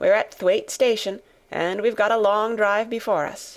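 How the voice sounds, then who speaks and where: Soft-spoken and medium in pitch, a woman talks at a moderate pace on a very clean recording with a silent background. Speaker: audiobook narrator. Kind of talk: audiobook reading of a classic novel.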